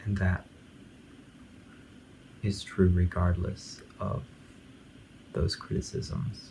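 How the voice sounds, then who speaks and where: Mumbling in a calm tone at a very slow pace with long, frequent pauses, a man speaks at a very deep, low pitch with ordinary pitch variation over noticeable background noise. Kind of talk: casual talk to camera, album commentary. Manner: calm, mumbling, half-asleep.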